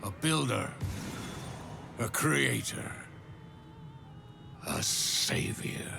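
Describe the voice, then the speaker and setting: Over clear background noise, a man puts on a character voice, fairly low in pitch, and speaks at a very slow pace. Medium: machinima. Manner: solemn, mournful.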